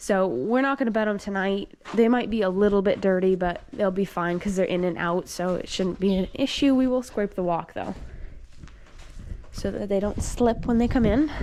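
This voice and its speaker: Her voice has a dark, mellow tone, a medium pitch for a woman, and ordinary pitch variation. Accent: American. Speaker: dairy farm worker and vlogger. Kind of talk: casual vlog narration. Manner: fast.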